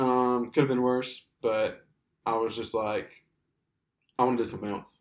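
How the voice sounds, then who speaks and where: Speaking in an Alabama accent, a man talks at a moderate pace and a medium pitch, his intonation flat and monotone, broken by long, frequent pauses. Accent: Southern US (Alabama). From US South, Alabama. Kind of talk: casual chat.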